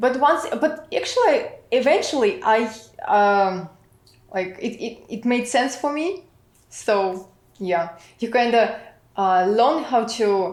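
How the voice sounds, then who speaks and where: A woman speaks very slowly with a Russian accent and lively intonation. Some room echo can be heard. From Russia, St Petersburg. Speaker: immigrant product manager. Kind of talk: interview. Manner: halting, many fillers.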